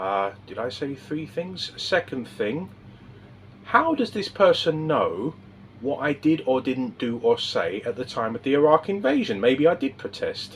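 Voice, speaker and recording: Vocal fry, very wide pitch swings and a fairly slow pace in a man's fairly high-pitched speech. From England. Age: 50s. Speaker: political vlogger. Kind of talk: casual monologue to camera. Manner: hesitant, with fillers and restarts.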